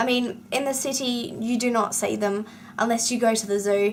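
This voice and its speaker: Noticeable background noise sits behind a woman speaking at a moderate pace. Her voice is fairly high, with fairly even intonation. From Western Australia. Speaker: book vlogger. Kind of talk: casual vlog monologue.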